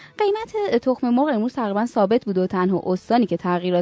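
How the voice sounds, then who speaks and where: Very fast speech with ordinary pitch variation, dry and close with no echo, over noticeable background noise. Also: woman. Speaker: news presenter. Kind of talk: news reading. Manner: formal.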